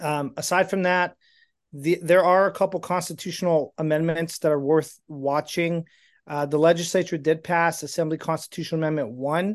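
Against a quiet background, the speaker talks at a moderate pace with fairly even intonation. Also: man, high pitch for a man. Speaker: state legislative advocate. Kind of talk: formal report. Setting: video call.

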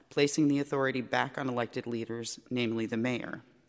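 A man's plain, everyday voice, medium-pitched, fairly quick in pace and fairly even in intonation. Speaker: member of the public. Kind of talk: public comment. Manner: indignant.

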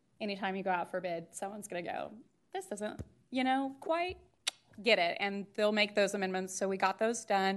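A woman with an unremarkable speaking voice talks at a fairly quick pace, her medium pitch moving with ordinary variation. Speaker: project staff member. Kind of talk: meeting presentation.

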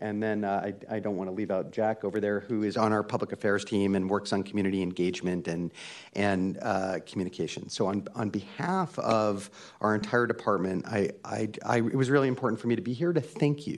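Against a quiet background, a man with an unremarkable speaking voice talks at a fairly quick pace, his pitch fairly low and his pitch variation ordinary. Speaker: parks department general manager. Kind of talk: formal presentation to a public commission. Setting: hybrid city hall meeting.

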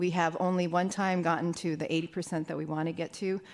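A woman speaks at a moderate pace in a fairly low pitch. Her intonation is monotone and flat. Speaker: fire department deputy chief, EMS. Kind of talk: formal report to a commission.

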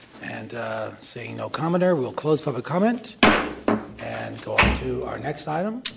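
There are big swings in loudness as a man speaks at a moderate pace. Noticeable background noise is present. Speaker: committee chair, local politician. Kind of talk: chairing a public meeting. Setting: government committee meeting room.

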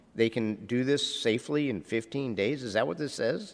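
Over a quiet background, a man talks in an unremarkable speaking voice, medium in pitch with ordinary pitch variation. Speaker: city legislator. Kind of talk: committee deliberation. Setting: council chamber.

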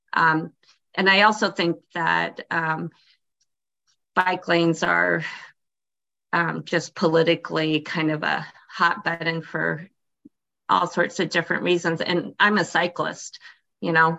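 With vocal fry and a fairly low pitch, a woman speaks fairly slowly in a flat monotone, leaving long, frequent pauses. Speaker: park board member. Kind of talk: public meeting discussion. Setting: video call.

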